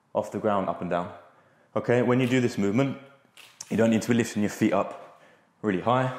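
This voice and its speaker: With audible room echo, a man speaks at a very fast pace and fairly low pitch, with ordinary pitch variation. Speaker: fitness coach. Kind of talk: tutorial. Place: gym. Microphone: lapel.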